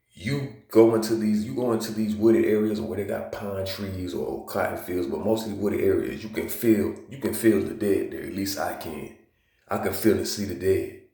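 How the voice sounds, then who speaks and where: At a moderate pace, a man with an American accent talks with big swings in loudness and audible room echo. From US South, Georgia. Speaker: video blogger. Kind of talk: casual monologue. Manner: casual, filler-heavy.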